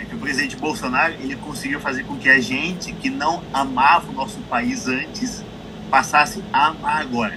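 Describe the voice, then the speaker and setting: This man talks at a fairly quick pace. Audible room echo and noticeable background noise surround his voice. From Brazil. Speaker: interview guest. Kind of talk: interview. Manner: halting.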